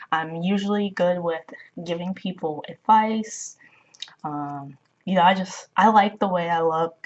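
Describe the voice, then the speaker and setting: A woman is speaking here. Her pitch is medium, and her pace is fairly slow. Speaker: spirituality vlogger. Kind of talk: casual advice monologue.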